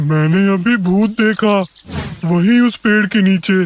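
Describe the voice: In a cartoonish character voice, a man speaks at a high pitch. His pace is fairly slow.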